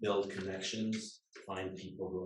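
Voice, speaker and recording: A man speaks with a very deep, low pitch and a somewhat breathy voice. Audible room echo surrounds him. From England. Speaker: lawyer. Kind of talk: guest talk to students.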